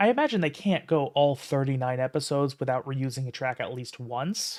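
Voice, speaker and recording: This soft-spoken man has a fairly high pitch and an American accent. He talks at a fairly quick pace with ordinary pitch variation. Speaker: streamer. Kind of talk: casual livestream commentary. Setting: home livestream at night. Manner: halting.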